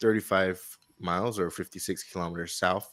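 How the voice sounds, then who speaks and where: A man with an American accent talks fairly quickly with fairly even intonation. His very deep, low voice has a bright, sharp tone. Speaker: podcast co-host. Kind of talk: casual chat retelling a story. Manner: hesitant, many fillers.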